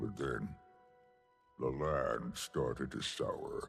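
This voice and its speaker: A man puts on a character voice and talks at a very slow pace. Faint music plays in the background. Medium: video game. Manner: measured, solemn.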